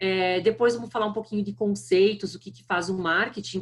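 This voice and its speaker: A woman's voice with vocal fry and a strong southern Brazilian accent. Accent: thick southern Brazilian. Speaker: marketing executive. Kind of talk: lecture.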